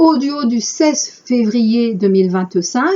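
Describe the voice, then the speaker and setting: A woman speaks at a very slow pace with a fairly high pitch and very wide pitch swings. Her voice is somewhat breathy. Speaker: spiritual channel host. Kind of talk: reading aloud with commentary.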